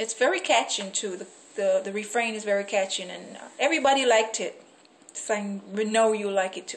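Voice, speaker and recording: A woman with a Jamaican accent talks at a fairly quick pace in a fairly high pitch, with ordinary pitch variation and big swings in loudness. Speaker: poet. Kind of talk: casual talk to camera. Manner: friendly, upbeat. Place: home room. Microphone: phone near.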